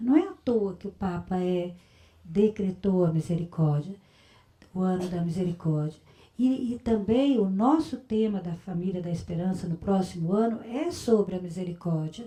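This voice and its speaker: Here a woman's medium-pitched voice is somewhat breathy and dark, mellow in tone. She talks at a moderate pace with ordinary pitch variation. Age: 60s. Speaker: religious community leader. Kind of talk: spiritual talk. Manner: conversational.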